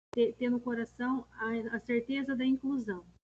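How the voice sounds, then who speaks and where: The recording has a dry, close sound with no echo. A woman speaks in a somewhat breathy voice with a dark, mellow tone. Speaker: special education coordinator leading teacher meeting. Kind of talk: online staff meeting presentation. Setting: video call with screen sharing.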